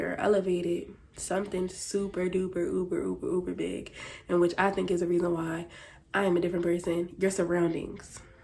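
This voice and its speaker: An American accent at a moderate pace, dark and mellow in tone, with audible room echo. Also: woman. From Philadelphia, US. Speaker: vlogger. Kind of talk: casual vlog monologue. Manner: animated.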